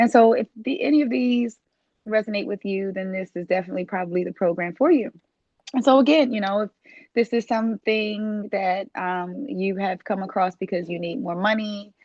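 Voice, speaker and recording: With a Baltimore accent, a woman speaks at a medium pitch. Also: ordinary pitch variation, moderate pace. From US, Baltimore. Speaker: dispatch trainer and business owner. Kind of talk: sales pitch. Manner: casual with frequent fillers.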